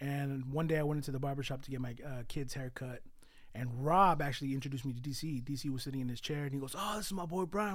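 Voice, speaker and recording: Through audible room echo, a man speaks at a very fast pace in a fairly high voice with ordinary pitch variation. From California, east San Jose (Mexican-born). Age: 30s. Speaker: photographer. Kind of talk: casual chat.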